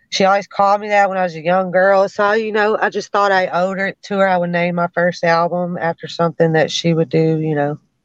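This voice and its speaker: With a Memphis accent, a woman talks at a fairly quick pace and medium pitch, with fairly even intonation and hardly any pauses, in a dry, close sound with no echo. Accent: Memphis Southern US. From US South, Memphis. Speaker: rapper. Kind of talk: casual interview.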